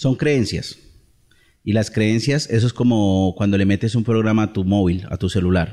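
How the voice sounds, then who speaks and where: The voice has a dark, mellow tone, ordinary pitch variation, very even loudness and a moderate pace, in a very clean recording with a silent background. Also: man, fairly low pitch for a man. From Colombia, Bucaramanga. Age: 30s. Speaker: entrepreneur. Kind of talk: interview.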